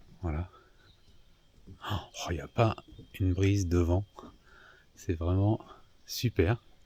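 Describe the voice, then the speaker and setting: A man speaks at a very slow pace with a very deep, low pitch, a dark, mellow tone and a somewhat breathy quality. His intonation is fairly even, long pauses come often, and the sound is dry and close with no echo. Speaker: sailing vlogger. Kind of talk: vlog narration. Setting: outdoors at night in a marina. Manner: casual, hesitant; soft-spoken. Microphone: far from the mic.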